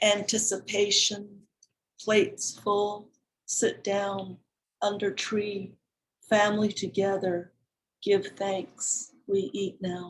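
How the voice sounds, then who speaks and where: A woman at medium pitch speaks very slowly, somewhat breathy and in a monotone, flat way. She leaves long, frequent pauses. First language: Navajo. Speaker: poet. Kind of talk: poetry reading.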